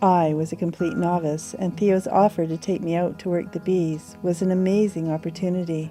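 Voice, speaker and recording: Over music in the background, a woman with a fairly low voice speaks at a moderate pace in a monotone, flat intonation, with hardly any pauses. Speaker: hobby beekeeper. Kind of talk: documentary narration.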